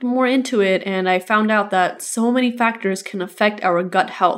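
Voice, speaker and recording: A normal speaking voice with ordinary pitch variation comes through on a very clean recording against a silent background. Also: woman. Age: 20s. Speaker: podcast host and registered nurse. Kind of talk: casual solo podcast talk.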